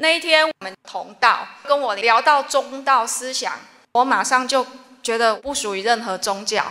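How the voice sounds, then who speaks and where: A woman's high voice at a fairly slow pace, with ordinary pitch variation. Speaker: religious follower. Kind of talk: testimony. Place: hall.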